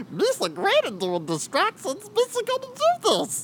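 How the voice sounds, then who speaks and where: The speaker uses a put-on character voice at a moderate pace. Background noise is clearly heard. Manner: goofy, bumbling.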